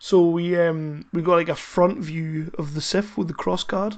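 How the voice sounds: The speaker has a Scottish accent and talks at a fairly slow pace.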